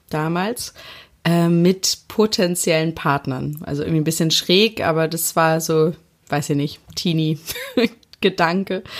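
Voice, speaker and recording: An ordinary speaking voice from a woman, fairly low in pitch with ordinary pitch variation and a fairly slow pace, on a very clean recording with a silent background. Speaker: interviewee telling couple's story. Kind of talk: personal storytelling.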